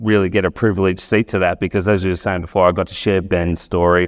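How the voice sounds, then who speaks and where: Against a quiet background, a man with an Australian accent speaks in a very deep, low pitch with fairly even intonation. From Wagga Wagga, New South Wales, Australia. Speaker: sports journalist. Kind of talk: talk to a live audience.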